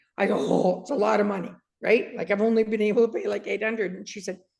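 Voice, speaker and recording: A somewhat breathy woman at a fairly high pitch, with a Canadian accent. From Canada. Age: 60s. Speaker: author and dog trainer. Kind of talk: interview testimony. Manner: animated.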